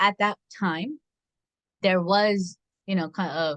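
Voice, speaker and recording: The sound is dry and close with no echo as a woman speaks at a medium pitch. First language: not English. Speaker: education researcher. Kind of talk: expert interview.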